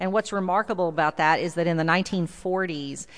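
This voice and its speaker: A woman with a slight Texan accent speaks in a fairly low pitch with fairly even intonation. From South Texas. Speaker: visiting preacher. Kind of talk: sermon. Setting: church.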